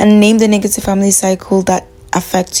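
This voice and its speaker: A woman's medium-pitched voice is heard over noticeable background noise. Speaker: video creator, self-help talk. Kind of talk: talking-head monologue.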